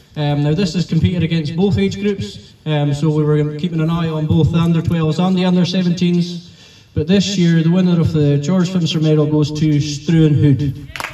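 Against noticeable background noise, a man with a fairly high pitch speaks at a moderate pace with hardly any pauses. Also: ordinary pitch variation. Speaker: tournament organiser and announcer. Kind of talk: event announcement and closing speech. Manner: relaxed, informal, hesitant with fillers.

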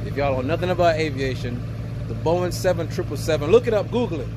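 Amid noticeable background noise, a man's voice has a dry sound with no echo. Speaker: truck driver vlogger interviewing. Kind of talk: casual vlog chat. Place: street. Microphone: phone near.

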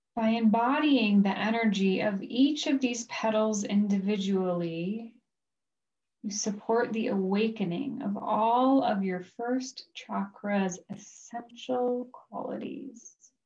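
A woman's somewhat breathy, fairly high voice at a very slow pace over a quiet background. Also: ordinary pitch variation. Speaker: life coach. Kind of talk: guided chakra meditation, reading imagery from a book. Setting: recorded video session. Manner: slow, soothing cadence paced to the breath; gentle, calm, softly instructive. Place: home room. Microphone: video call.

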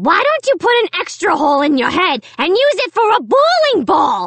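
Loud and raspy, this put-on character voice has a fairly bright tone and very wide pitch swings, moving at a moderate pace in a dry, close sound with no echo. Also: woman, extremely high pitch for a woman.

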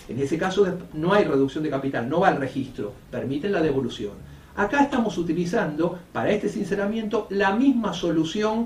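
With very wide pitch swings, a man speaks in audible room echo over light background noise. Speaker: notary. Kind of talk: explanatory talk to camera. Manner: fast.

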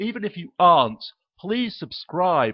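A man's voice with lively intonation. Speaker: YouTube video blogger and activist. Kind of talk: angry rant. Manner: indignant, emphatic, repeating points for force; swearing, incredulous.

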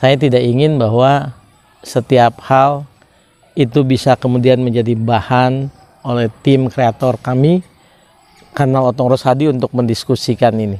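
A man speaks at a fairly slow pace, and the sound is dry with no echo. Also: fairly even intonation. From Indonesia, Subang, West Java; West Java, Indonesia. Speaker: law educator; law commentator. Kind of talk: lecture. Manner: formal. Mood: calm, earnest. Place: open country. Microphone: lapel.

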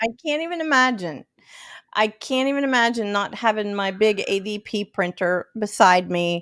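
Against a quiet background, a woman with an American accent speaks at a moderate pace and a fairly high pitch with lively intonation. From northern West Virginia. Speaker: auto finance manager and consumer advocate; podcast guest. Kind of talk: casual interview. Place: home room. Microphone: studio mic.

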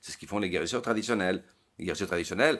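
A man with a very deep, low pitch is heard in a very clean recording with a silent background. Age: 50s. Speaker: psychologist and author. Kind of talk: interview conversation. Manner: halting, with repetitions.

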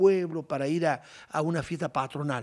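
Speaking at a fairly slow pace, a man has a high-pitched voice with ordinary pitch variation. The background is quiet. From Argentina, Córdoba province countryside. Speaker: horse breeder for rodeo. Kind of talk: interview. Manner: animated.

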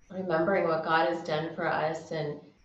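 Audible room echo over light background noise. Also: woman. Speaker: yoga instructor. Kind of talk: class instruction and scripture reading. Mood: calm, gentle. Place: home room. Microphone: camera far.

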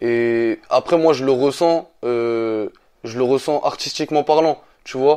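The voice has a dark, mellow tone and ordinary pitch variation. It moves at a very slow pace over a quiet background. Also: man, medium pitch for a man. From France. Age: 20s. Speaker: rapper. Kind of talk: interview. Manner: halting.

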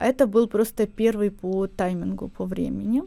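A woman speaks with a dark, mellow tone at a fairly high pitch. The recording is very clean, with a silent background. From Ukraine. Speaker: event agency founder. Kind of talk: radio interview. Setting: studio.

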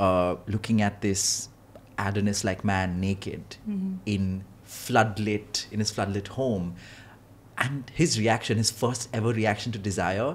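An unremarkable speaking voice from a man, fairly low in pitch, with fairly even intonation. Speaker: film critic podcast host. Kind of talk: podcast discussion. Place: studio. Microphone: studio mic.

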